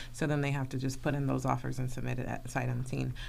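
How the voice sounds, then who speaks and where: A woman is talking with vocal fry. Her pitch is very deep and low. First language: Spanish. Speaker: realtor. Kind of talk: casual radio talk show. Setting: radio studio.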